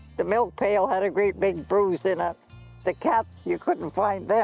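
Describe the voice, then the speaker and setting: Music plays in the background as a woman talks at a fairly slow pace. Her loudness stays very even. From Canadian Prairies, Alberta. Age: 90s. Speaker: pioneer farm woman interviewee. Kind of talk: storytelling interview.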